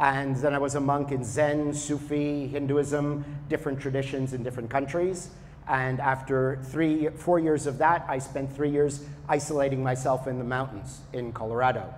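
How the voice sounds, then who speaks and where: Audible room echo frames a man's fairly high voice. He keeps a moderate pace with monotone, flat intonation. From Canada. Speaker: spiritual teacher. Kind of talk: talk to an audience. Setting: yoga studio with audience. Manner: loud.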